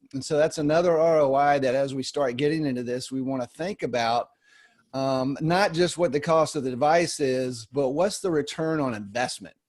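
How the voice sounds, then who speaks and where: The delivery uses an ordinary speaking voice, keeping a moderate pace and ordinary pitch variation. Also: man, fairly high pitch for a man. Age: 50s. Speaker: wellness product distributor. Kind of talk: webinar discussion.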